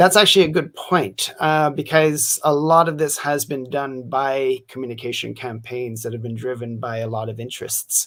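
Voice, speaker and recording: A man with a plain, everyday voice speaks at a moderate pace and medium pitch, with ordinary pitch variation. He leaves hardly any pauses, and his loudness swings widely. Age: 50s. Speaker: science policy commentator. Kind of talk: live interview.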